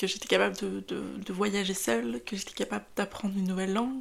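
Medium in pitch with vocal fry, a woman speaks at a fairly quick pace with lively intonation. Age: 20s. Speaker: podcast host. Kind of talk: casual monologue. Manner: hesitant, many fillers.

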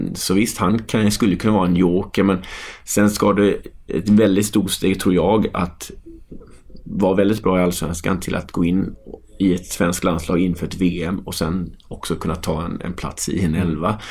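This man's voice is very deep and low. His intonation is monotone and flat. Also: moderate pace. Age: 30s. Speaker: football coach. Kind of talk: casual chat.

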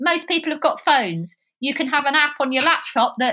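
A woman's raised, projected voice, bright and sharp in tone, with lively intonation and a slight southeast London accent. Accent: slight southeast London twang. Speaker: wildlife filmmaker and live streamer. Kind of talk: casual interview chat.

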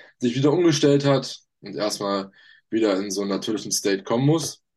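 This man speaks at a medium pitch and a fairly quick pace. His intonation is lively, and the background is quiet. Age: young. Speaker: fitness podcast co-host, trainee electronics technician. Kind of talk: casual chat. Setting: video call.

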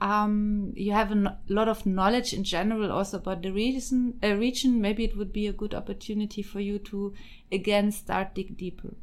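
In a German accent, a woman speaks at a moderate pace with hardly any pauses, a medium pitch and monotone, flat intonation. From Germany and Austria. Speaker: political scientist, PhD candidate. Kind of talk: casual interview.

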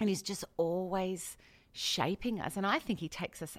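Over a very clean recording with a silent background, a woman speaks with a fairly low pitch in an Australian accent. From Australia, Adelaide. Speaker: pastor. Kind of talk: interview.

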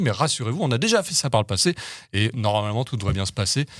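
The pitch swings very widely at a very fast pace. The recording is very clean, with a silent background. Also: man. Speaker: podcast host. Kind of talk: casual chat.

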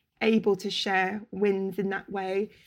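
In a London accent, a woman speaks at medium pitch against a quiet background. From London, Camden. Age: 30s. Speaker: interior stylist. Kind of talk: casual chat.

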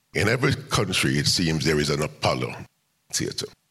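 Very deep and low in pitch, this man's voice carries vocal fry and a bright, sharp tone. His pitch swings very widely as he speaks at a moderate pace. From Jamaica (West Kingston). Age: 80s+. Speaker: music venue owner and community activist. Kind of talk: live interview on stage. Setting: stage with audience. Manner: animated storyteller.

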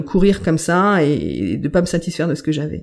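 The recording is very clean, with a silent background. A woman with a fairly low pitch and vocal fry speaks with ordinary pitch variation. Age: 40s. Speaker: medium and healer, former corporate sustainability director. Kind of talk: interview, personal life story. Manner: hesitant, many fillers and repetitions.

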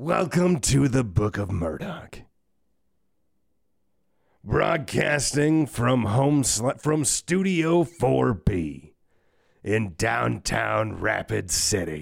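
Someone uses a put-on character voice at a very slow pace. Long pauses come often. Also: man, medium pitch for a man. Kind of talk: broadcast announcer. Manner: booming, exaggerated.

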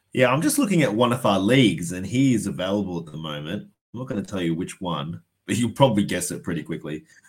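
Over a silent background in a very clean recording, a man with a fairly low voice talks with lively intonation and an Australian accent. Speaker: fantasy sports podcast co-host. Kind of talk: casual chat.

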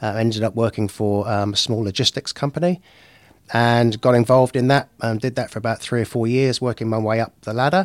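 With an Oxfordshire accent and ordinary pitch variation, the speaker moves at a fairly quick pace in a very clean recording with a silent background and a dry, close sound with no echo. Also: man, medium pitch for a man. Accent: English, from Oxfordshire. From England. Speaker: business broker. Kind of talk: casual interview chat.

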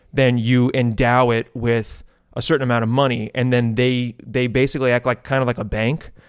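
A man with a plain, everyday voice at a medium pitch, speaking at a fairly quick pace in a very clean recording with a silent background. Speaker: podcast producer. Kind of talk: casual chat.

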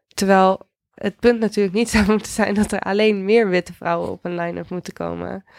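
A woman talks at a fairly quick pace with monotone, flat intonation. The recording is very clean, with a silent background and a dry, close sound with no echo. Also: medium pitch for a woman. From Netherlands, Houten near Utrecht. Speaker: DJ and music journalist. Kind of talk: podcast interview. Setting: studio.

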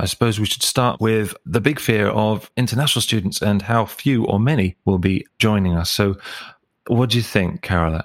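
A plain, everyday voice moves at a moderate pace with very even loudness and ordinary pitch variation, the sound dry and close with no echo. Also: man, fairly low pitch for a man. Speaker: podcast host and lecturer. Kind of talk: podcast intro and discussion.

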